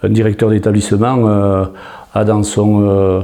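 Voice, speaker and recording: At a very slow pace, a man speaks with a fairly low pitch and monotone, flat intonation. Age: 50s. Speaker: job seeker, former social care manager. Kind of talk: interview self-presentation. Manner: hesitant, many fillers and repeats.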